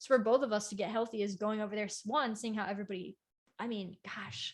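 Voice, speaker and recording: A woman with an American accent speaks very fast in a somewhat breathy, fairly high voice, her intonation fairly even. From United States. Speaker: cosplayer and libertarian YouTuber. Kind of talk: casual podcast interview. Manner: soft-spoken.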